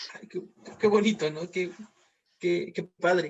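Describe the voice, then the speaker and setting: Fairly even intonation carries a man's high-pitched voice. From Mexico, Veracruz. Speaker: moderator. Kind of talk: interview. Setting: video call. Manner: halting.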